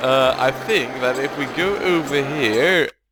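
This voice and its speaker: A man's fairly high voice with music in the background. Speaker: let's play gamer. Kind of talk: casual gameplay commentary.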